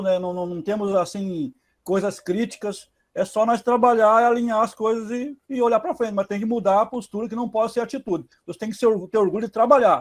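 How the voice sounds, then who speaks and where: A high-pitched man speaks at a moderate pace with ordinary pitch variation. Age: 60s. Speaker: adult evening student. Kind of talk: class discussion.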